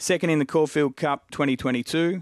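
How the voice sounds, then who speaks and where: A man with an Australian accent at a moderate pace, dry and close with no echo, over a quiet background. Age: 40s. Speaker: racing analyst. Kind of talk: casual chat.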